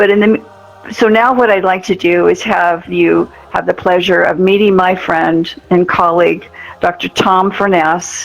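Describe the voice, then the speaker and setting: A woman speaks at a medium pitch and a fairly slow pace, with fairly even intonation and very even loudness, over noticeable background noise. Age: 80s+. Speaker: nonprofit organization leader, event host. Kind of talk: award ceremony speech. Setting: virtual reality event.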